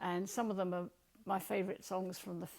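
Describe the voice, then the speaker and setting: A woman's voice with vocal fry. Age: 70s. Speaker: retiree and volunteer community radio DJ. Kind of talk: personal talk to camera. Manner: animated; hesitant with fillers.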